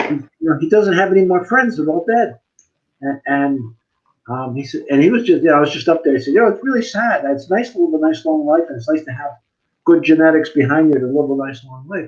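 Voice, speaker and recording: Speaking at a very fast pace with an American accent, a man uses lively intonation at a fairly high pitch, his loudness swinging widely. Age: 60s. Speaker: talk show co-host. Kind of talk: casual chat.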